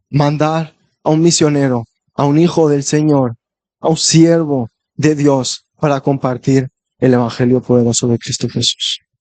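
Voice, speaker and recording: A man talks with a fairly high pitch and ordinary pitch variation, recorded with a dry, close sound and no echo. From Spain. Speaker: visiting preacher. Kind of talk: sermon.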